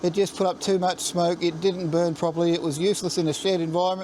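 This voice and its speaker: A man speaks at a very fast pace in a high pitch, with an Australian accent. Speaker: DIY and maker channel host. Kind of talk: casual video tour. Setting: in a shed, then outdoors. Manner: halting with fillers and repeats; loud, yelling over heater noise.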